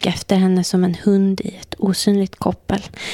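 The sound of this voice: Reading in an unforced voice.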